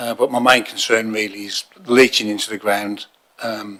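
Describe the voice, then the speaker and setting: A bright, sharp tone comes through at a moderate pace with monotone, flat intonation. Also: man. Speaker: submitter at council hearing. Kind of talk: public submission. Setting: council chamber, in person.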